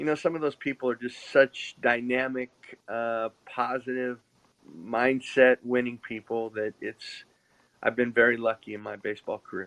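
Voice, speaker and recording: A plain, everyday voice with an American accent comes through at a moderate pace, with big swings in loudness, in a dry, close sound with no echo. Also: man, medium pitch for a man. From Northern California. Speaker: former baseball scout and player. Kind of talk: casual interview chat. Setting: live podcast.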